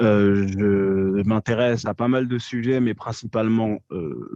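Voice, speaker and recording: A man's fairly low, dark and mellow voice, very slow, with fairly even intonation, in a dry, close sound with no echo. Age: 20s. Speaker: podcast guest, social media commentator. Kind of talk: casual interview. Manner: hesitant, many fillers.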